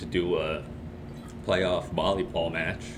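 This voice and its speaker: A man's very deep, low voice, fairly slow and monotone, flat in intonation, with audible room echo and noticeable background noise. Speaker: student sports announcer. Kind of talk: casual chat.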